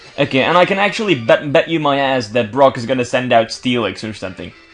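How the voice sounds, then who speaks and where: A man speaks fairly quickly, his pitch swinging very widely, while music plays behind him. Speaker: gaming video creator. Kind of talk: let's play commentary. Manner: fast; halting, searches for words.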